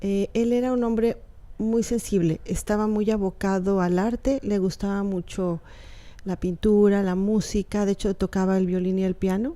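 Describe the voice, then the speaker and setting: In a very clean recording with a silent background, a woman with a Yucatán accent speaks at a moderate pace and medium pitch, her dark, mellow tone carrying fairly even intonation. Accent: picked up Yucatán. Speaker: writer. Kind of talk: interview.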